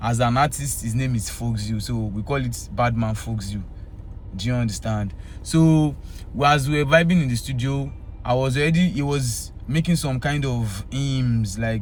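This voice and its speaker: In a room with audible echo, a man with a Yoruba accent speaks at a moderate pace, with medium pitch and ordinary pitch variation. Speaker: Afrobeats singer. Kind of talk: casual talk to camera.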